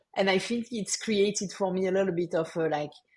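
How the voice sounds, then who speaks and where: A woman with a French accent talks at a fairly quick pace, her medium-pitched voice keeping fairly even intonation. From France. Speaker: marketing executive. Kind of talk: podcast interview.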